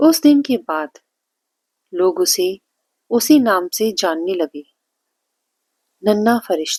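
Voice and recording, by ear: A woman's slow, medium-pitched voice with big pitch swings, a slightly mellow tone and slightly husky edge, in a dry, close sound with no echo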